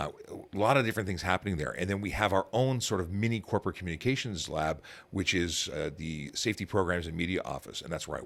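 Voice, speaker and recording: With a Canadian accent, a man talks at a very fast pace. His pitch is very deep and low, with ordinary pitch variation. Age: 40s. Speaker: police officer. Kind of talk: interview conversation. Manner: halting, frequent repetitions.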